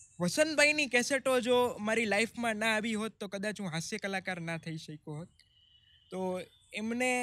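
Raised and projected, this man's high voice has a bright, sharp tone and lively intonation. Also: big swings in loudness, dry sound with no echo. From Gujarat, India. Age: young. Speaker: comedian. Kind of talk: interview storytelling. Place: garden. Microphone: studio mic.

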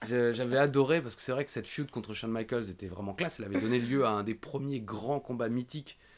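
Animated and very fast with hardly any pauses, a man talks at a medium pitch with ordinary pitch variation. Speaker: wrestling podcast host. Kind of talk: casual chat. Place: home room. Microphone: studio mic.

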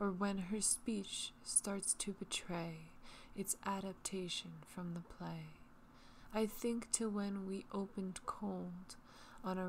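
Very slow and somewhat breathy, a woman speaks in a soothing tone with fairly even intonation. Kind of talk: poetry reading. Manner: soothing, relaxing.

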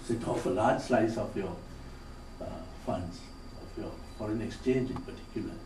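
Noticeable background noise fills the recording. Over it, a man talks fairly quickly. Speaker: keynote speaker, former finance minister. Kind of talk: conference speech. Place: hall.

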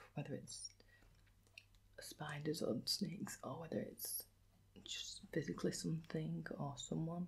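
A soft-spoken woman with a gentle tone at a fairly slow pace. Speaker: vlogger asking questions. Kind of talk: casual vlog chat. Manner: soft-spoken, gentle ASMR voice. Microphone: phone near.

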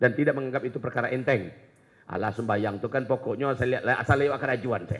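Very fast speech over a quiet background. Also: man. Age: 40s. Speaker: Islamic preacher. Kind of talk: sermon. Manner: animated. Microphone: handheld.

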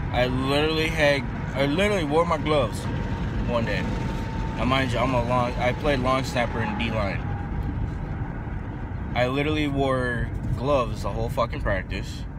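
A man's drawling voice at a moderate pace, with long, frequent pauses, dry sound with no echo, and loud background noise. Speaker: vlogger. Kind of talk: casual vlog chat. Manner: drowsy, slack, low-energy drawl. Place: car. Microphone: phone near.

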